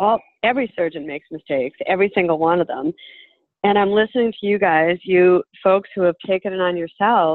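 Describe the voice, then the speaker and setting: The pace is moderate. Pitch variation is ordinary. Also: woman. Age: 60s. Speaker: healthcare industry worker. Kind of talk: audience question.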